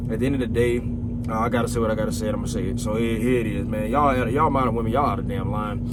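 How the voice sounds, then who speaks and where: Amid noticeable background noise and audible room echo, a man talks at a very fast pace and medium pitch. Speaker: podcast host reacting to clips. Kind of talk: casual reaction commentary. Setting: outdoors. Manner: animated; stuttering at times.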